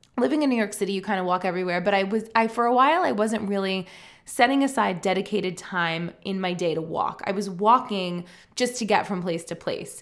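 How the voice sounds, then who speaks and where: A woman at medium pitch speaks in an animated tone with ordinary pitch variation. Her pace is fairly quick. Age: 40s. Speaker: podcast host and life coach. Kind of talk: casual solo podcast talk.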